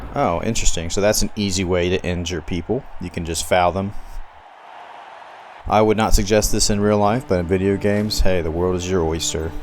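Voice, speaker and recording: Over noticeable background noise, a man with a Southern US accent and very deep, low pitch talks at a fairly quick pace with fairly even intonation. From US South. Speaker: gaming YouTuber. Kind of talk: gameplay commentary. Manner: casual, conversational.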